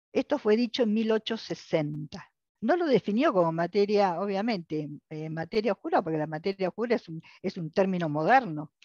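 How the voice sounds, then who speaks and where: A woman with an unremarkable speaking voice talks at a medium pitch and a fairly quick pace, with lively intonation and hardly any pauses. The sound is dry and close with no echo, over a quiet background. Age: 60s. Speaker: lecturer. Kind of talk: lecture. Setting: video call.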